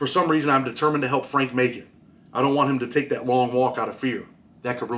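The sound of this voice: With fairly even intonation, the speaker reads in an unforced reading voice.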